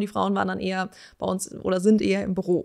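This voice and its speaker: A woman talks at a moderate pace. The background is quiet. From Hesse, Germany (Wiesbaden); Hesse, Germany. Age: 30s. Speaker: company managing director; guest. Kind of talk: casual interview. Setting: company headquarters. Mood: relaxed, friendly. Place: studio. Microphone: studio mic.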